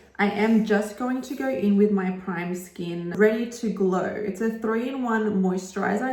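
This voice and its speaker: Amid noticeable background noise and audible room echo, a woman speaks at a medium pitch and a fairly slow pace with fairly even intonation. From Australia. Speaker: makeup artist. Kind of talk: tutorial. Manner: casual, chatty.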